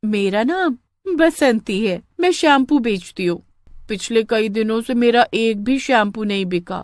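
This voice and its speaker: A put-on character voice, fairly high in pitch and at a fairly slow pace. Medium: read story. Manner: mocking.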